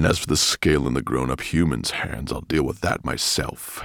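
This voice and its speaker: A man's put-on character voice, growling and very deep and low, at a moderate pace. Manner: growling, menacing.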